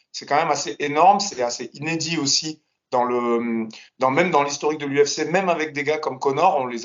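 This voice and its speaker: Fairly high in pitch, a man uses a normal speaking voice with ordinary pitch variation. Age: 40s. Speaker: MMA analyst, martial artist. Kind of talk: casual analysis chat.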